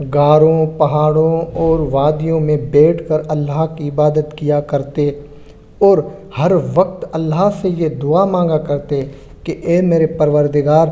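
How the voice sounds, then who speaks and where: A fairly high-pitched male voice in a flat monotone, against noticeable background noise. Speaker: voice-over artist. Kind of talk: religious history documentary narration.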